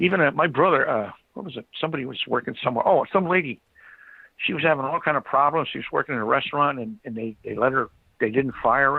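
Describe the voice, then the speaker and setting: Talking at a very fast pace, a man with an American accent uses a fairly high pitch. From United States. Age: 60s. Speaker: retired blue-collar worker. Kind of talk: casual chat. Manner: halting.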